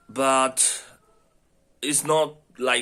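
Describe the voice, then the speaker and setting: In a non-native accent, a man speaks with a bright, sharp tone. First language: not English. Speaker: language learner. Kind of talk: casual monologue answering questions. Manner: halting with many fillers.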